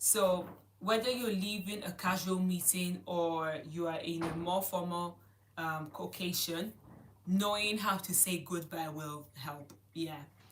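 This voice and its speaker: Fairly low in pitch, a woman speaks at a fairly slow pace with audible room echo. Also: fairly even intonation. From Italy. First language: Italian. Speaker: online language teacher. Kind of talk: live online lesson. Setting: livestream. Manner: halting.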